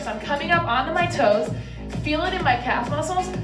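Clear music plays behind a woman as she speaks. Her voice is high and her pace fairly quick. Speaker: fitness coach. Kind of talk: workout tutorial instruction. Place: gym.

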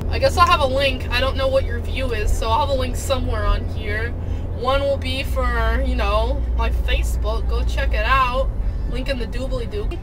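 A woman keeps a moderate pace as noticeable noise sounds in the background. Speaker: vlogger. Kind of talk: casual vlog chat. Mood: playful, silly. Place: car. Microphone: phone near.

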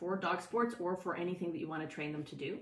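A woman's fairly low voice with ordinary pitch variation and audible room echo. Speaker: dog sport training coach. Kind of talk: casual educational talk to camera. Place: home room. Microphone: phone near.

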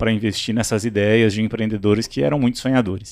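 The man's pitch is medium. Nothing can be heard behind him. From Brazil, Minas Gerais then Brasília. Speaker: startup CEO; podcast guest. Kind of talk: interview. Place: studio. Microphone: studio mic.

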